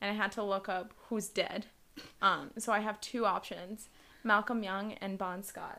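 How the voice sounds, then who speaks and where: In an American accent, a woman with a medium pitch and a bright, sharp tone speaks at a fairly slow pace in a monotone, flat intonation. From New York City, Queens. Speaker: podcast co-host. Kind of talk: casual chat.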